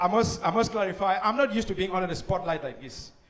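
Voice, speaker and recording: A man with a Cameroonian accent speaks at a high pitch. Noticeable background noise and audible room echo fill the recording. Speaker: comedian. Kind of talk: stand-up. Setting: stage with audience. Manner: animated.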